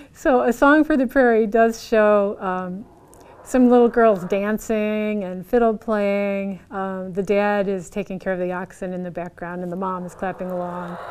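A woman at a moderate pace, with big swings in loudness and ordinary pitch variation. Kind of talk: casual presentation. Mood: amused, laughing. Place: garage. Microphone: lapel.

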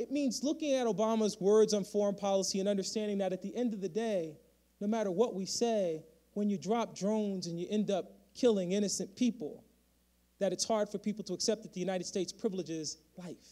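Against a quiet background, a man with an American accent talks at a very fast pace in a high voice with a dark, mellow tone and ordinary pitch variation. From Connecticut, Bridgeport; Connecticut. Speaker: history professor and dean; history professor. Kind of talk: keynote speech. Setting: stage with audience. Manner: fast talker; animated. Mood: earnest, critical. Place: hall. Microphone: podium.

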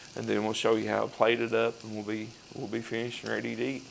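Someone speaks at a fairly quick pace over light background noise. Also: man. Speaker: cooking demonstrator. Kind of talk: tutorial. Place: kitchen. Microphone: lapel.

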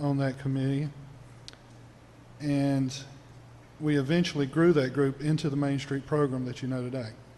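Audible room echo surrounds a man with a fairly high pitch. He speaks at a moderate pace in a flat, monotone way. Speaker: city council member. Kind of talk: council meeting statement. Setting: city council chamber. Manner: formal.

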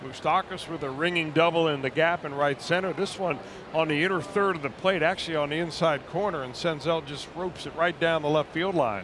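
Over noticeable background noise, a man with a fairly high voice talks at a fairly quick pace with hardly any pauses. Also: ordinary pitch variation. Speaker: baseball broadcaster. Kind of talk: baseball color commentary. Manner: analytical, measured, conversational explanations.

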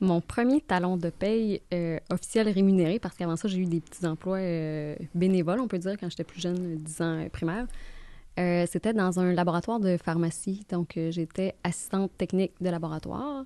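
With a slight Gaspésie accent, a woman speaks at a moderate pace in a dark, mellow tone, her fairly low pitch showing ordinary variation in a dry sound with no echo. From Gaspésie, Quebec (Bonaventure); Quebec. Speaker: mortgage broker; guest. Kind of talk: casual interview. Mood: relaxed, friendly. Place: studio. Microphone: studio mic.

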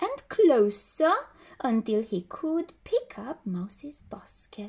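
Over a quiet background, a woman speaks very slowly, her pitch swinging very widely. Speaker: storyteller reading a picture book. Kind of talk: bedtime story telling, reading a children's tale aloud. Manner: gentle, soothing storyteller pace with expressive character voices. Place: home room. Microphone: phone near.

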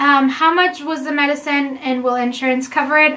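Her pitch is high and the intonation monotone and flat. This woman speaks at a fairly quick pace. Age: 20s. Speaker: vlogger answering viewer questions about IVF. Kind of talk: casual Q&A chat. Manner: conversational, with frequent fillers. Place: home room. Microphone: camera far.

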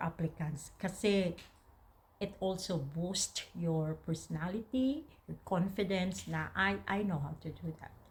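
Her voice is somewhat breathy, a woman's at a fairly low pitch with ordinary variation, delivered at a very slow pace. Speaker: vlogger. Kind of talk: casual advice talk to camera.

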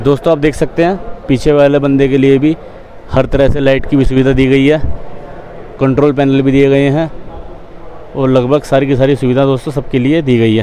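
A man's monotone, flat delivery at a moderate pace, very even in loudness, with long, frequent pauses and light background noise. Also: dry sound with no echo. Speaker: car vlogger. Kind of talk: casual vlog commentary. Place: shop. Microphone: phone near.

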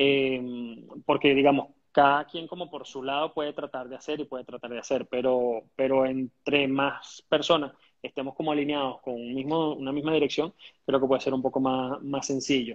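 A man's fairly high voice with a Caracas accent, monotone and flat, against a quiet background. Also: moderate pace. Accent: Venezuelan Spanish (Caracas). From Venezuela. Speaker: entrepreneur and teacher; teacher. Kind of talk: interview. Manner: halting, many fillers and repetitions. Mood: calm, hopeful. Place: home room. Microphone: earbuds.

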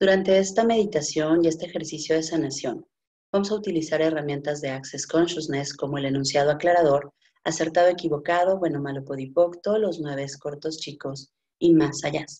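A woman with a very deep, low pitch and a dark, mellow tone, at a fairly quick pace with ordinary pitch variation, against a quiet background. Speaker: healing facilitator. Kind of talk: guided meditation. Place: home room. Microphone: video call.

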